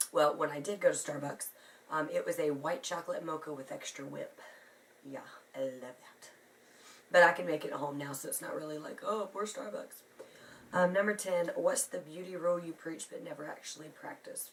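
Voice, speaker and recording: Her loudness swings widely from moment to moment. Noticeable background noise sits behind this woman. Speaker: beauty vlogger. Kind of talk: casual talk to camera.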